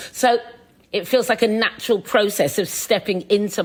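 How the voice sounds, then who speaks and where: A woman with a British accent. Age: 50s. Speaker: chef and TV presenter. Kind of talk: podcast interview. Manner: halting.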